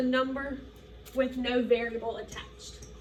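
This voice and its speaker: A woman's high voice comes through with clear room echo and distinct background noise. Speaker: middle school math teacher. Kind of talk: recorded lesson for students.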